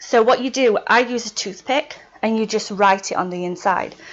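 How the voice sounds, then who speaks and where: The speaker has a Yorkshire accent. The pace is moderate. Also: woman. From Yorkshire, England. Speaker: witchcraft video blogger. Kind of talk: casual video tutorial.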